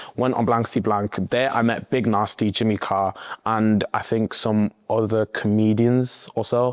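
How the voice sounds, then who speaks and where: In a Liverpool accent, a man with a medium pitch talks at a fairly slow pace with monotone, flat intonation and very even loudness, in a dry, close sound with no echo. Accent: Scouse. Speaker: content creator. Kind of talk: casual vlog talk.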